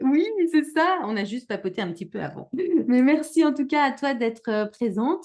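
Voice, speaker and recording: Using very wide pitch swings, a woman speaks at a high pitch. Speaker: podcast host.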